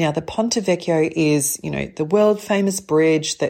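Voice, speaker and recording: Speaking at a fairly slow pace, a woman uses a fairly low pitch with ordinary variation. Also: very clean recording, silent background. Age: 50s. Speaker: spiritual business coach podcast host. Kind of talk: spiritual monologue. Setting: home apartment. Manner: animated.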